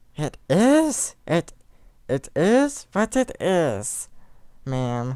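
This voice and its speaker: Performing a put-on character voice at middle pitch, the speaker goes at a very slow pace with very wide pitch swings and long, frequent pauses. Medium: read story. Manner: bored, curt, flat.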